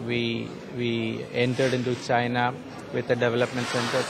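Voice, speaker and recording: A man talks over noticeable background noise. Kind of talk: interview answer. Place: hall. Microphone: handheld.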